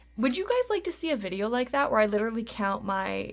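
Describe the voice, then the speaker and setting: Very clean and silent in the background, this recording features a woman at a fairly quick pace. She has a normal speaking voice with fairly high pitch. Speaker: budgeting YouTuber and podcaster. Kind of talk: casual vlog tutorial. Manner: chatty, filler-heavy.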